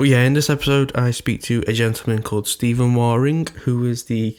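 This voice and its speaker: Noticeable background noise accompanies a man speaking at a fairly quick pace, medium in pitch with fairly even intonation. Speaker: podcast host. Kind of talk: podcast intro. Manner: casual with filler words.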